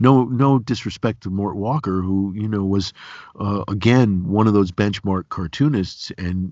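A man with an upstate New York accent speaks in a very deep, low pitch at a moderate pace, with ordinary pitch variation. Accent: upstate New York American. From Binghamton area, upstate New York. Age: 50s. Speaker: podcast host and cartoonist. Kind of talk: casual interview conversation.

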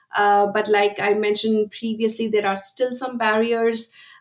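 The speech moves at a moderate pace in monotone, flat intonation over noticeable background noise. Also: woman. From India. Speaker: energy industry strategy director. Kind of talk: interview.

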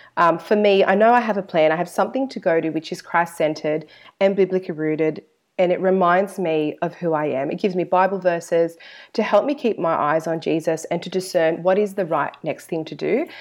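Speaking at a fairly quick pace with an Australian accent, a woman with a fairly low pitch shows ordinary pitch variation. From Australia, Sydney. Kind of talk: interview.

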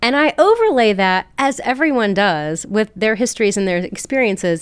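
With an American accent, a woman speaks in a fairly high voice at a moderate pace. Her pitch swings very widely. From West Virginia, South Charleston. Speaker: public health professor and entrepreneur. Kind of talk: podcast interview.

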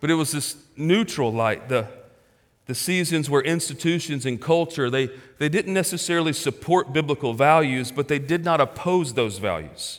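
Here a man speaks at a moderate pace and a fairly high pitch. He has an ordinary speaking voice. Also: ordinary pitch variation, very clean recording, silent background. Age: 40s. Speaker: pastor. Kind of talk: sermon. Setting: church.

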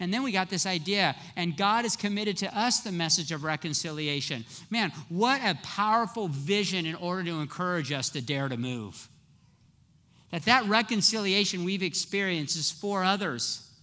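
In a very clean recording with a silent background, a man uses a raised, projected voice with a bright, sharp tone and high pitch at a moderate pace. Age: 50s. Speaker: pastor. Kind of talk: sermon. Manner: animated.

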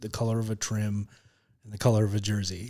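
The speech moves at a very fast pace. It is a very clean recording with a silent background. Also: man. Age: 40s. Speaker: comedian and TV writer. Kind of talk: casual chat. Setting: studio.

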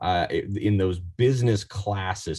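The man has an American accent. There is a somewhat breathy quality to his voice. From Oregon, US Pacific Northwest. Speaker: marketing executive. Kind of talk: interview.

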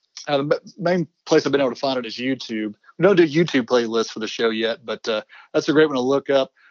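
Using an ordinary speaking voice, a man talks fairly quickly at a medium pitch, with ordinary pitch variation. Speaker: co-host. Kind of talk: conversational commentary.

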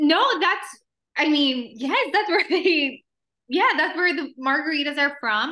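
A woman projects a raised voice at a high pitch with a bright, sharp tone. Her pace is fairly slow and her intonation lively. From El Paso, Texas and Juarez, Mexico. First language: Spanish. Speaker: actress and singer. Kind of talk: interview.

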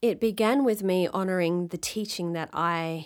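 This is a very clean recording with a silent background. A woman with an Australian accent speaks in a fairly low pitch with ordinary variation. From Western Australia, southwest. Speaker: actor and director. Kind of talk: interview.

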